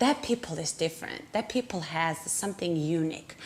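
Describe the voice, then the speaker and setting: The voice carries a Georgian accent. Its pitch varies in an ordinary way. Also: woman. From Georgia (country), Tbilisi. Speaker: immigrant interviewee. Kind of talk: personal testimony. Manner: halting, many fillers.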